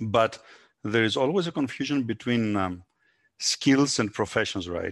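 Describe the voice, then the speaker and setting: A man with a Greek accent at medium pitch, fairly slow and lively in intonation, dry and close with no echo against a quiet background. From Greece. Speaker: entrepreneur. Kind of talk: interview.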